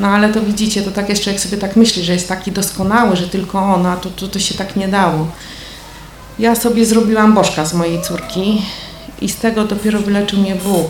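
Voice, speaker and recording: Very fast, monotone, flat delivery with audible room echo and noticeable background noise. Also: woman, medium pitch for a woman. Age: 50s. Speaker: churchgoer giving testimony. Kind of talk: testimony. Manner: casual, conversational.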